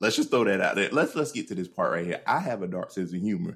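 A very clean recording with a silent background, featuring a man's voice. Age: 30s. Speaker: podcast co-host. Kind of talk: casual chat.

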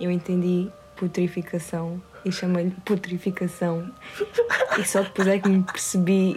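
The speaker is a woman with a medium pitch. Noticeable background noise can be heard. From Portugal, Alentejo. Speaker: podcast co-host. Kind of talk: casual chat.

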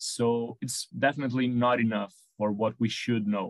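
A man with a Brazilian accent, medium in pitch, at a fairly slow pace with fairly even intonation. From Brazil, Sao Paulo. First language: Portuguese. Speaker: veterinarian, horse behaviour consultant. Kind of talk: interview.

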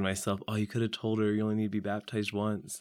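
A man speaks very fast with a Midwestern American accent. His pitch sits fairly low. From US Midwest, Saint Joseph, Missouri. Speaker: young adult churchgoer. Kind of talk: faith testimony interview. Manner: hesitant, many fillers.

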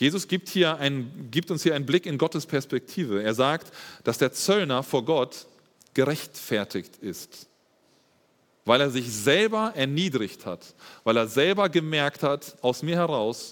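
With lively intonation, a man speaks at a fairly high pitch, leaving long, frequent pauses. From Germany, Espelkamp (East Westphalia). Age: 30s. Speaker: lay preacher and teacher. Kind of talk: sermon. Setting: church service.

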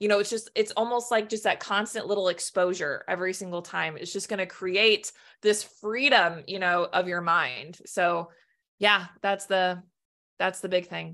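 Against a quiet background, a woman with a medium pitch and a bright, sharp tone talks at a moderate pace with fairly even intonation. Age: 30s. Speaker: anxiety coach and speaker. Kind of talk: casual interview chat.

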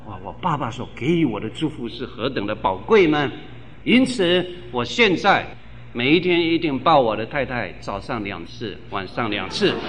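The voice moves at a moderate pace with very wide pitch swings, and audible echo fills the room. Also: man, medium pitch for a man. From Taiwan, Tainan. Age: 50s. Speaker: pastor. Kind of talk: sermon.

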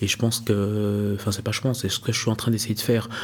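Noticeable background noise runs behind a man's voice. He speaks in a fairly low pitch with monotone, flat intonation. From Switzerland, Neuchâtel. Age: 30s. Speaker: entrepreneur. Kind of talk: interview.

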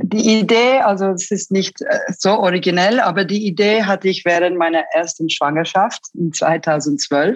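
At a fairly slow pace, a woman speaks at medium pitch with very even loudness throughout. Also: ordinary pitch variation. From Switzerland, Zurich. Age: 30s. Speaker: online shop founder. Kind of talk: interview. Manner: halting.

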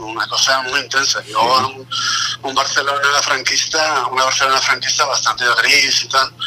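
The man's voice sits fairly high and moves at a moderate pace. Noticeable background noise runs behind him. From Basque Country, Vitoria. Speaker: guest artist. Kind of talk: casual interview chat.

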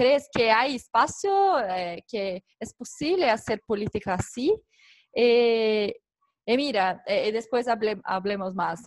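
Speaking very slowly, a woman uses lively intonation at a fairly high pitch, the sound dry and close with no echo. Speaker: civil society organization member. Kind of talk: online interview / panel talk.

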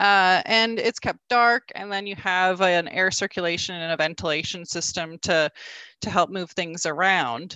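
Heard with a dry, close sound with no echo over a quiet background, a woman with a Canadian accent and an ordinary speaking voice talks at a moderate pace in a medium pitch with ordinary pitch variation. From rural Alberta, Canada. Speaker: bee inspector and researcher. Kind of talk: interview.

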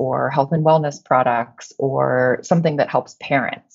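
Here a woman speaks at a fairly slow pace. Her pitch varies in an ordinary way. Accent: Midwestern American. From Illinois, US Midwest. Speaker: company CEO. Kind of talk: interview.

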